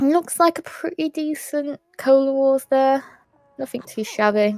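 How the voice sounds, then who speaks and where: A woman speaks at a fairly slow pace in a high, squeaky voice with ordinary pitch variation. The sound is dry and close, with no echo. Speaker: speedrun commentator. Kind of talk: live commentary. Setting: live stream.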